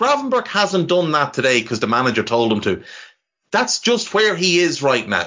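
A man with an Irish accent talks at a fairly high pitch, with very wide pitch swings and vocal fry. His loudness stays very even throughout. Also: moderate pace. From Ireland. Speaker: football podcaster. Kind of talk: casual chat.

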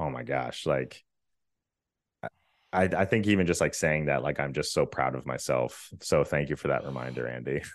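A man with a very deep, low voice and vocal fry speaks at a moderate pace. The background is quiet. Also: ordinary pitch variation. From Virginia. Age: 30s. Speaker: content creator. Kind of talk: casual interview.

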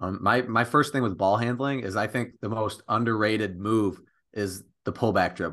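In a quiet background, a man with an American accent and an unremarkable speaking voice talks at a fairly low pitch with fairly even intonation. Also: moderate pace. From Michigan, the thumb. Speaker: college basketball player. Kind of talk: casual interview.

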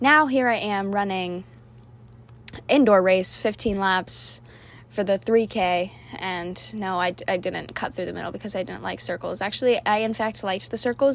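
An animated woman with an American accent speaks at a moderate pace. Her medium pitch shows ordinary variation. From Florida, Orlando area. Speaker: podcast host, college athlete. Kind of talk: casual monologue.

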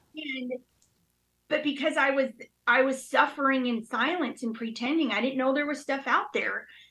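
The voice is raised and projected, with a bright, sharp tone. Its intonation is fairly even. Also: woman, high pitch for a woman, moderate pace. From New York (Queens), then Utah from age 11. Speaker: recovering addict sharing her story. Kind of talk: testimony.

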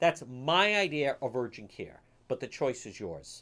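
A man's fairly high voice, animated in tone, with very wide pitch swings at a moderate pace, on a very clean recording with a silent background. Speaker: radio talk show host. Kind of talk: radio DJ patter: live talk-radio show with ad reads, promos and commentary. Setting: radio studio, live on air and streamed on Facebook. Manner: animated, opinionated, conversational.

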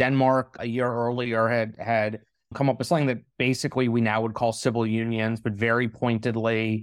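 In a very clean recording with a silent background, a man speaks at a moderate pace with fairly even intonation and a normal speaking voice. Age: 40s. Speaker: journalist and author. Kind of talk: interview.

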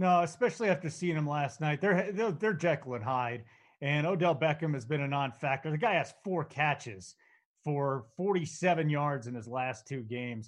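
An ordinary speaking voice from a man, fairly high in pitch with lively intonation, over a quiet background. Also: moderate pace. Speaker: podcast host. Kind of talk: casual sports betting chat.

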